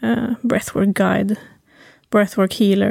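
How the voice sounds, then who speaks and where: Her fairly high voice has a dark, mellow tone and vocal fry, and this woman speaks at a moderate pace with fairly even intonation in a dry, close sound with no echo. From Sweden, Timrå (Medelpad, Norrland). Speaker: talk therapist and breathwork guide. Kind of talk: podcast interview.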